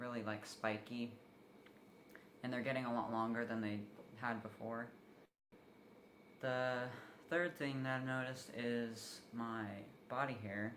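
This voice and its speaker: Amid audible room echo, a man of medium pitch speaks at a fairly slow pace with fairly even intonation and long, frequent pauses. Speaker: vlogger. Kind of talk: personal video update. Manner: casual, filler-heavy.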